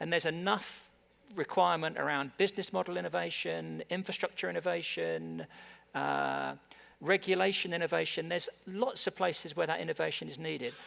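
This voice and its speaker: A man talks fairly quickly in an English accent. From England. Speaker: tech industry executive. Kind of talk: panel discussion. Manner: halting, many repetitions.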